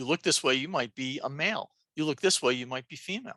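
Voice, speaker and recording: With a New Jersey accent, a woman speaks at a moderate pace in an animated, bright, sharp tone with lively intonation, the sound dry and close with no echo. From New Jersey, Jersey City. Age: old. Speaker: nurse and transgender health educator. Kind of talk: lecture. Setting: video call.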